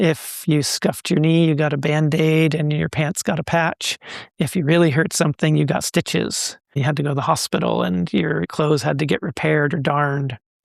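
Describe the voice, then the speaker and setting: In an ordinary speaking voice, a man talks at a fairly quick pace with fairly high pitch, ordinary pitch variation and very even loudness, the sound dry and close with no echo. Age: 60s. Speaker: textile artist. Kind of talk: interview.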